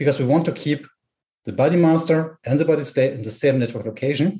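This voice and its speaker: Speaking fairly quickly with a German accent, a man has a fairly high, somewhat breathy voice with a dark, mellow tone. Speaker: tech company product specialist. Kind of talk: technical explanation. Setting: home with garden noise.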